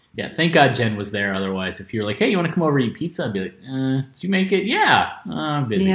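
With noticeable background noise behind him, a man talks very fast at a medium pitch, hardly pausing, his pitch swinging very widely. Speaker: podcast co-host. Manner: loud.

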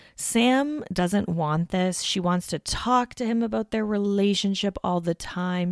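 Recorded very cleanly against a silent background, with a dry, close sound and no echo, a woman speaks in a normal speaking voice at a fairly slow pace with ordinary pitch variation. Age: 30s. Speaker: podcast host. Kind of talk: solo casual recap monologue.

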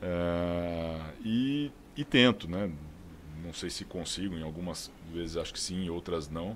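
A man's very deep, low voice in a São Paulo interior accent, very slow in pace, with ordinary pitch variation. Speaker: sales director. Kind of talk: casual chat.

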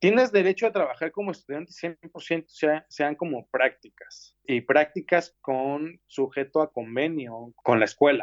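A man speaks with lively intonation at a fairly high pitch. The sound is dry and close, with no echo. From Mexico City. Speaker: graphic designer and art direction student. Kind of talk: interview. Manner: halting.

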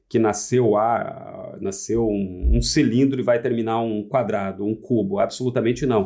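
At a moderate pace, a man talks with a dark, mellow tone and vocal fry. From Santa Catarina, southern Brazil. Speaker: furniture designer and architect. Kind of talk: casual chat. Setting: studio. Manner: formal.

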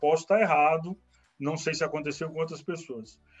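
With music playing in the background, a man talks in a high pitch. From Brasília, Brazil. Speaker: IT technical support worker. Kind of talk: casual interview. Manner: halting, many fillers.

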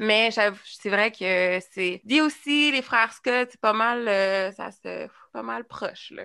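A woman's fairly high, bright, sharp voice at a very slow pace, with ordinary pitch variation, big swings in loudness and a quiet background. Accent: Quebec. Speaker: podcast host. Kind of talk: casual chat.

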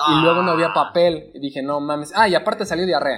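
A man's high-pitched voice at a fairly quick pace, with music in the background. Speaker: podcast co-host. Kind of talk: casual chat.

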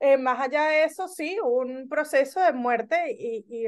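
A woman speaks with a high pitch at a fairly slow pace. The background is quiet. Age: 30s. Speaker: business consultant. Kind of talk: casual chat. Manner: animated.

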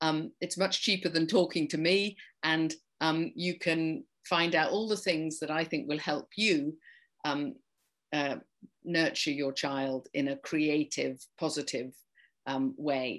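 Against a quiet background, a woman with an English accent speaks at a very slow pace. Her voice is very deep and low, with ordinary pitch variation. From England, rural farming community. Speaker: occupational therapist and play therapist. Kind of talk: interview.

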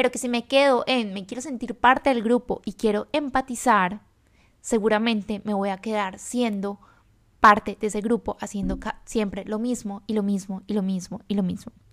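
A woman at fairly high pitch, with fairly even intonation and a moderate pace. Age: 20s. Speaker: podcast host. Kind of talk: motivational monologue.

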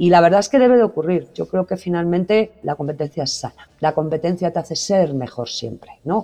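A woman with a Spanish accent speaks at a moderate pace, her fairly low pitch carrying lively intonation. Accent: Spanish (Spain) accent, unchanged. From Spain. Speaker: digital transformation executive. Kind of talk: interview.

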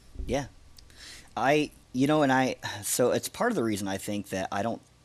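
A man speaks at a fairly quick pace. He has an unremarkable speaking voice with ordinary pitch variation. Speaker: friend and fellow MMA fan. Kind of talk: casual chat.

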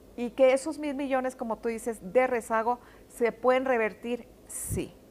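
A woman with a fairly high pitch, fairly even intonation and a plain, everyday voice. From Mexico, Ciudad Juárez. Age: 50s. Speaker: politician, candidate. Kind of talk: interview.

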